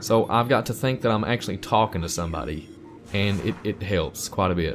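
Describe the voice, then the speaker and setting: A man speaks with a fairly low pitch and ordinary pitch variation. Music plays in the background. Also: fairly quick pace. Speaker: gaming YouTuber. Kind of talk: let's play commentary. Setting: home recording, no camera. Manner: casual, conversational.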